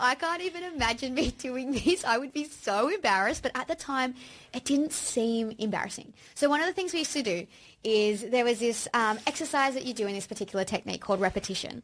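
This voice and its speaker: A woman with an Australian accent speaks at a very fast pace and a high pitch, her intonation lively, on a very clean recording with a silent background. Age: 30s. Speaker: podcast co-host, aspiring actor. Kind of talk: casual chat.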